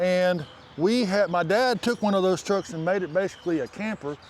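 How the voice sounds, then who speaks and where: With an American accent, a man speaks at a high pitch using ordinary pitch variation. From northern Indiana. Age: 50s. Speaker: car and fabrication YouTuber. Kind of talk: casual chat.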